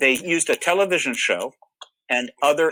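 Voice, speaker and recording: Loud and bright, with a sharp tone, a man talks at a moderate pace with ordinary pitch variation in a dry, close sound with no echo. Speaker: UFO disclosure researcher. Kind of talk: panel talk.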